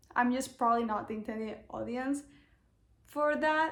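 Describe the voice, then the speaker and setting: A woman speaks with a non-native accent at a moderate pace. Her intonation is lively. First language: not English. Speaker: booktuber. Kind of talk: casual vlog chat.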